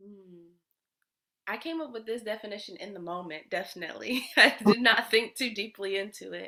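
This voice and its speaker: A woman talks at a moderate pace with an American accent, her fairly high voice bright and sharp. Her loudness swings widely. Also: ordinary pitch variation. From US South. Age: 20s. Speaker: energy healer and musician. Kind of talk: casual interview.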